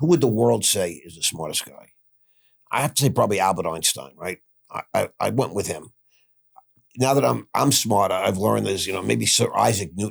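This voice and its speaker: With lively intonation and vocal fry, a man talks at a fairly quick pace in a fairly low pitch, his loudness swinging widely. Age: 60s. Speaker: former stockbroker, convicted fraudster. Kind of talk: podcast interview.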